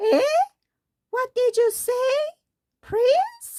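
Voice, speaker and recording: Using a put-on character voice, a woman squeaks at an extremely high pitch. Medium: read story.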